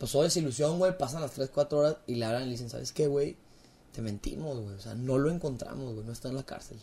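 Somewhat breathy and dark, mellow in tone, a man talks at a fairly quick pace with a medium pitch and lively intonation. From Mexico, Torreón, Coahuila (La Laguna). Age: 20s. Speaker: podcaster and family business owner. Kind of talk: casual chat.

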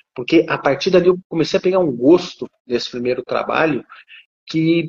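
Very wide pitch swings at a moderate pace. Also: man. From Brazil, interior of São Paulo state (Ribeirão Preto). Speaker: lawyer and law professor. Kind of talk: live interview. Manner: formal.

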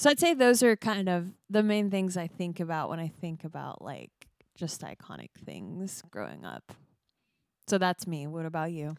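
With an ordinary speaking voice at a fairly low pitch, a woman talks at a moderate pace with lively intonation and big swings in loudness, recorded dry and close with no echo on a very clean recording with a silent background. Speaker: podcast co-host. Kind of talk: casual chat.

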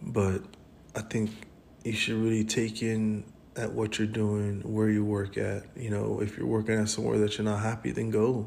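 A man with a fairly low pitch talks at a moderate pace in a monotone, flat intonation. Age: 30s. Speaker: podcast host. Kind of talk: casual monologue. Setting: hospital room. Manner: casual and rambling.

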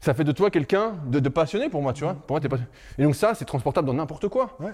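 A man's voice sits fairly high, with lively intonation. He talks at a very fast pace. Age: 30s. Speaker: strength training coach. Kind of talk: casual chat.

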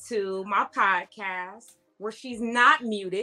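Speaking with fairly even intonation, a woman has a plain, everyday voice of medium pitch. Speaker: podcast host. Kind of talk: casual chat.

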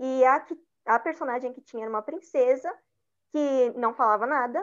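In a São Paulo accent, a woman with a high voice speaks at a moderate pace with ordinary pitch variation against a quiet background. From São Paulo, East Zone. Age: 20s. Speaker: journalist and researcher. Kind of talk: interview.

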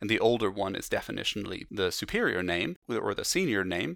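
On a very clean recording with a silent background, the words come out at a fairly quick pace. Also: man. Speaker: zoologist and museum curator. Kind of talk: interview.

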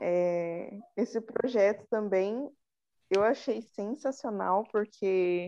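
The voice belongs to a woman and sits at a medium pitch. It has a dark, mellow tone. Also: quiet background. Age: 20s. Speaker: physiotherapy student, club secretary. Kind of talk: casual chat.

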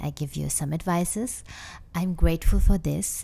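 On a very clean recording with a silent background, a woman with a German accent speaks at a fairly slow pace. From Germany. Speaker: podcast host, wellness coach. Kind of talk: casual monologue. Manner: hesitant, many fillers.

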